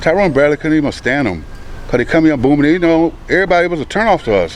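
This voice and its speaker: Over noticeable background noise, a man with a fairly high pitch and lively intonation talks at a very fast pace. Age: 60s. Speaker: housemate of a police raid victim. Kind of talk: news interview.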